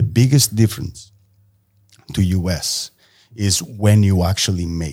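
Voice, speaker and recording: A man speaks at a fairly slow pace with long, frequent pauses and big swings in loudness. His fairly low voice has a dark, mellow tone and ordinary pitch variation. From Portugal. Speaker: tattoo artist. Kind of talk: casual chat.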